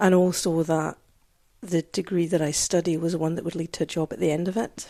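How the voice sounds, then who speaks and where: Speaking fairly quickly in a Scottish accent, a woman at a fairly low pitch has a dark, mellow tone and monotone, flat intonation. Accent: Scottish, noticeable. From Scotland, south of Glasgow. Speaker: social historian and lecturer. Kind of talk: casual interview. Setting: old building with beamed roof.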